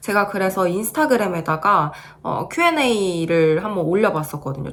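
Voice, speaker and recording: Noticeable background noise runs behind a woman speaking at a medium pitch. Her intonation is lively and her pace moderate. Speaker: beauty vlogger. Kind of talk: video review vlog.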